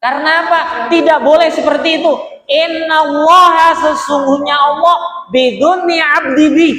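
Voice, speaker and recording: A man with a bright, sharp, animated tone speaks at a fairly slow pace amid audible room echo. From Bekasi, West Java, Indonesia. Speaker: Islamic preacher. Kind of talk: sermon.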